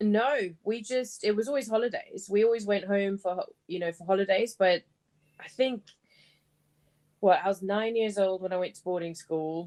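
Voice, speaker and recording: A woman's medium-pitched voice, dark and mellow, at a moderate pace with ordinary pitch variation and big swings in loudness. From South Africa (born in Malawi, schooled in South Africa). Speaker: private chef. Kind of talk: interview conversation.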